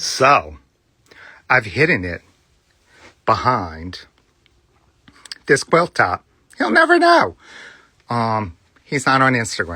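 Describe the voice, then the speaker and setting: Very slow delivery with long, frequent pauses carries a bright, sharp tone, vocal fry, and very wide pitch swings. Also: man, medium pitch for a man. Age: old. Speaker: cross-stitch video host. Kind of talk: casual show-and-tell vlog. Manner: hesitant, lots of ums.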